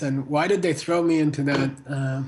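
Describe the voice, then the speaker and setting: With an American accent, a man speaks at a fairly high pitch with fairly even intonation. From United States. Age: 60s. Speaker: Buddhist teacher and author. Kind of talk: interview. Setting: video call. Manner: halting.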